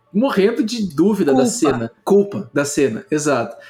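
Very wide pitch swings from a man. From Rio de Janeiro, Brazil. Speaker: public health researcher and professor. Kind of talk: casual chat. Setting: video call.

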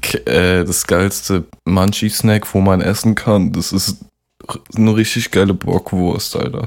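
A man talks very slowly in a fairly low voice, with ordinary variation in pitch. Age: young. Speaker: podcast co-host, rapper. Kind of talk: casual chat.

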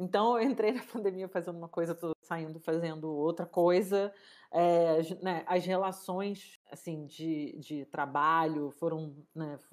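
A woman with an ordinary speaking voice and a fairly low pitch talks at a fairly slow pace with ordinary pitch variation, on a very clean recording with a silent background. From Rio de Janeiro, Brazil. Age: 30s. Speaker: cook and food entrepreneur. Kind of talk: casual interview chat.

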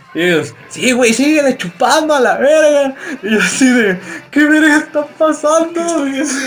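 Against noticeable background noise, a man with a Mexican accent speaks at an extremely high pitch. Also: ordinary pitch variation, moderate pace. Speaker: podcast host. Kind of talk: casual chat. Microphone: far from the mic.

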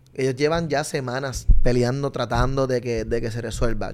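Animated in tone, a man speaks at a medium pitch and a moderate pace. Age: 30s. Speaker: street reporter. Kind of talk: casual chat.

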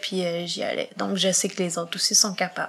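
A woman speaks over noticeable background noise. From Quebec, Montreal. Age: 20s. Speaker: podcast guest with visual impairment. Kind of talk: interview.

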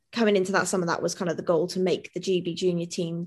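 The speech comes at a very fast pace in a Welsh accent, with monotone, flat intonation. The background is quiet. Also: woman. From Mid-Wales. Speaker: professional athlete. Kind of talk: interview. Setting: video call.

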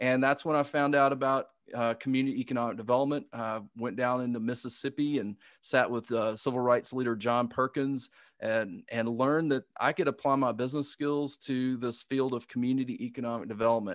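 A man speaks with a Southern US accent at a medium pitch and fairly quick pace. His intonation is fairly even, over a quiet background. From US South. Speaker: business coach. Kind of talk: interview answers. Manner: halting, hesitant.

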